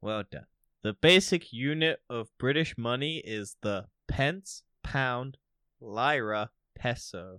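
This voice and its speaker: Very slow, lively speech from a man with an American accent, medium in pitch with a bright, sharp tone, dry and close with no echo on a very clean recording with a silent background. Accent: American-sounding. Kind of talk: casual chat. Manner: irreverent, sarcastic.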